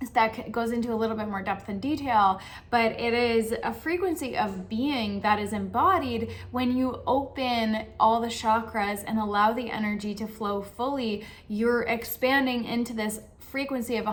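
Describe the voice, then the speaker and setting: Heard with audible room echo, a woman speaks at a fairly high pitch with fairly even intonation. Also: hardly any pauses. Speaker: spiritual coach. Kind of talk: channel monologue.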